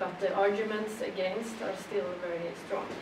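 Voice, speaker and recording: A woman of medium pitch with a Swedish accent at a moderate pace, over noticeable background noise. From Sweden. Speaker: politician. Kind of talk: panel discussion. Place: hall. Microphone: camera far.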